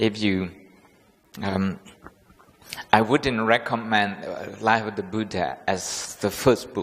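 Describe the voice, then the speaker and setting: Speaking at a very slow pace, a man uses a fairly low pitch and fairly even intonation. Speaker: Buddhist monk teacher. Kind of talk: lecture. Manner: halting, many fillers.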